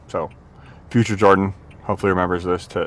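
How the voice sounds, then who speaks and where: A man mumbles at a moderate pace in a very deep, low pitch. Noticeable background noise can be heard. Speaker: fitness vlogger. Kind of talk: casual workout vlog talk. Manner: mumbling; low energy.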